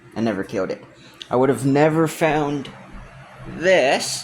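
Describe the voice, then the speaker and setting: A man talks with an American accent at a fairly slow pace. His pitch variation is ordinary. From US West, Utah. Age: 18. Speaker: youtuber. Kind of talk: casual rant to camera. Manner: halting, many fillers.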